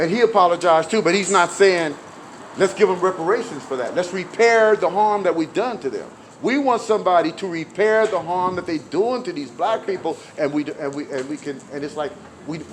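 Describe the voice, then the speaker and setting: A man's high voice with an animated tone, ordinary pitch variation and a fairly quick pace, over noticeable background noise. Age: 60s. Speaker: activist, retired bus driver. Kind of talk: street interview. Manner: halting, many repetitions.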